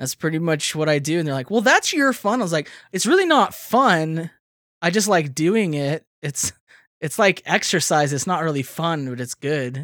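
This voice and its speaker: An unremarkable speaking voice moves at a moderate pace with lively intonation, recorded very cleanly against a silent background with a dry, close sound and no echo. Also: man, fairly high pitch for a man. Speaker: podcast host. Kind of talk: casual banter among friends. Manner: joking, playful.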